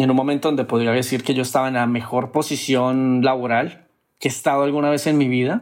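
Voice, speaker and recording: At a fairly quick pace, a man speaks in a flat monotone at medium pitch, his loudness very even. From Colombia, Cúcuta (Venezuelan border). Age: 30s. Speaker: traveler sharing personal story. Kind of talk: personal testimony.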